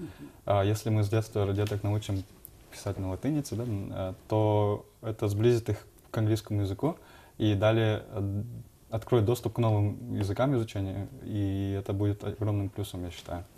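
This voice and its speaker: The voice is somewhat breathy with a dark, mellow tone, moving at a moderate pace with fairly even intonation and long, frequent pauses over light background noise. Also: man, fairly low pitch for a man. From Kokshetau, Kazakhstan. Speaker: entrepreneur, guest. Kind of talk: TV interview. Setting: studio. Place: studio. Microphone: lapel.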